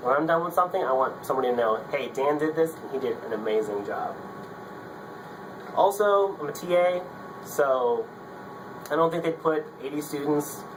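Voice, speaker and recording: In an upbeat tone, a man speaks at a fairly quick pace and fairly high pitch with ordinary pitch variation, amid noticeable background noise and audible room echo. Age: 20s. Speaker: engineering graduate student. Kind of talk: casting video pitch. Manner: casual, upbeat.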